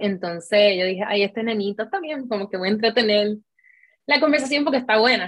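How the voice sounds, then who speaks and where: A woman in a normal speaking voice talks at a fairly quick pace with a fairly high pitch and ordinary pitch variation. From Puerto Rico. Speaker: content creator. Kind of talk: interview.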